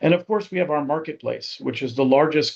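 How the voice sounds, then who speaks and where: Over a quiet background, the delivery runs at a fairly quick pace. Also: man. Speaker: software company presenter. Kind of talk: webinar product demo. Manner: fast.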